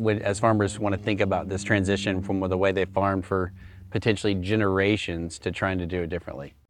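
Over music in the background, the speech runs at a fairly quick pace in a monotone, flat intonation. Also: man. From central Arkansas. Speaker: corporate executive hosting company video series. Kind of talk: casual interview on location. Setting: outdoors in a rice field.

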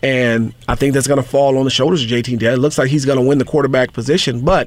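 A man speaks with an American accent at a medium pitch, his intonation fairly even. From Southern California. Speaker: high school football scout and podcast host. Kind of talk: solo sports podcast commentary. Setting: studio. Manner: brash.

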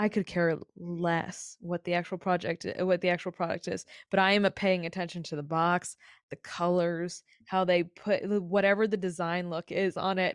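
Over a quiet background, a woman speaks with an American accent at a moderate pace. The sound is dry and close, with no echo. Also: fairly low pitch for a woman. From US South, Raleigh, North Carolina. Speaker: podcast host. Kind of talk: casual interview chat. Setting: in person recording. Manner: animated.

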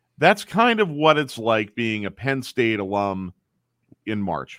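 A man with an unremarkable speaking voice talks at a fairly low pitch and a moderate pace, with lively intonation. The recording is very clean with a silent background and a dry, close sound with no echo. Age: 40s. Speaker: sports radio station executive. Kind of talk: casual chat.

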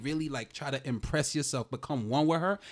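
A man with a plain, everyday voice is heard in a very clean recording with a silent background. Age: 30s. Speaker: comedian and teacher. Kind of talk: casual chat.

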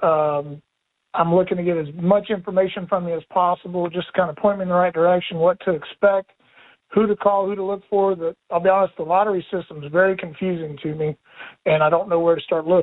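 Speaking at a very fast pace, a man with an American accent uses a high pitch and monotone, flat intonation. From West Virginia. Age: 40s. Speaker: firefighter, caller. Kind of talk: call-in question.

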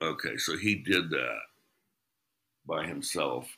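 Vocal fry runs through a man's bright, sharp tone. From US Midwest (Ohio, born in Kentucky). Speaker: improv director and comedian. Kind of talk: casual interview. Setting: remote call from his kitchen.

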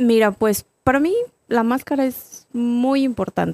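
A woman with a high voice and ordinary pitch variation speaks at a very slow pace. Her tone is dark and mellow, and the sound is dry and close with no echo. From Mexico, San Luis Potosí (Salinas). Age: 30s. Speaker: professional wrestler. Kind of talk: casual interview.

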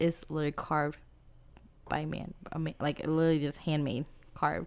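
Talking fairly quickly, a woman uses a very deep, low pitch. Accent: American. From US Midwest, Dodge City, Kansas. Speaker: podcast co-host. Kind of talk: casual chat.

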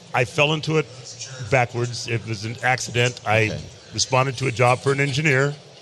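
Against noticeable background noise, a man talks at a medium pitch. His intonation stays fairly even. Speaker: master brewer. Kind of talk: casual chat. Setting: live at a convention.

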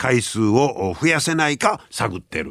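Here a man speaks in a Kansai accent at a fairly high pitch. His pitch swings very widely, and his pace is fairly slow. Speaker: radio host. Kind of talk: casual radio talk.

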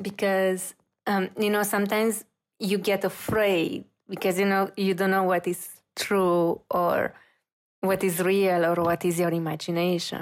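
In a Romanian accent, a woman speaks at a fairly slow pace with a monotone, flat intonation and very even loudness. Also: medium pitch for a woman. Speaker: reiki practitioner and intuitive. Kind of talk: interview. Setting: video call.

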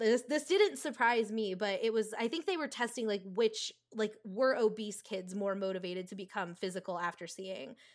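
A woman with an American accent, a plain, everyday voice, fairly high pitch, ordinary pitch variation, and a moderate pace. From US Northeast, rural New Jersey. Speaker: storyboard artist and director. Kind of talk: casual interview chat.

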